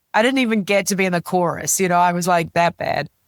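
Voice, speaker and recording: The recording is very clean with a silent background, capturing a woman's fairly low voice in a New Zealand accent with a dry, close sound and no echo. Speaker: business executive and author. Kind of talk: interview conversation. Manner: animated.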